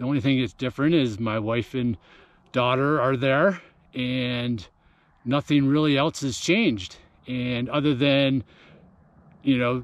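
There are long, frequent pauses as a man speaks with ordinary pitch variation. The sound is dry, with no echo. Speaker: running coach. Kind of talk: casual vlog chat. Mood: reflective, calm. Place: open country. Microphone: phone near.

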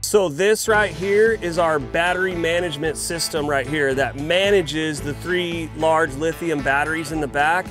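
Over clear background music, a man speaks at a moderate pace with ordinary pitch variation in a dry recording with no echo. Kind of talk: tutorial. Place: open country.

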